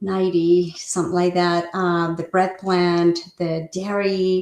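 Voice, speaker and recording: A medium-pitched woman with a Spanish accent. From Mexico (Guadalajara), moved to Seattle area in high school. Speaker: real estate agent. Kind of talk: interview.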